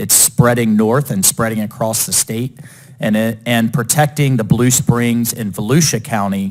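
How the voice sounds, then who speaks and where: A man's medium-pitched, unremarkable speaking voice with an American accent, fairly slow, with ordinary pitch variation. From Florida, Jacksonville. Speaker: politician. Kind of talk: committee floor speech. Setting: committee hearing room. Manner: formal.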